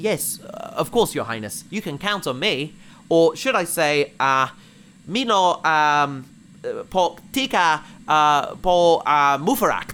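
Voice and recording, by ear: A man's put-on character voice, fairly high in pitch, slow, with lively intonation and a clear, smooth yet bright, sharp tone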